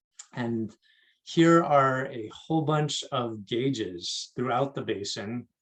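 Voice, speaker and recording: Using a plain, everyday voice, a man speaks with a fairly high pitch and ordinary pitch variation. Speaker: water district staff presenter. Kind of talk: presentation talk.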